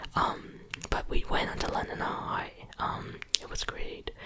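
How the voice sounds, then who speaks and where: Someone whispers with an American accent over noticeable background noise. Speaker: ASMR content creator. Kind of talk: whispered ASMR ramble to camera. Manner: whispered, soft-spoken.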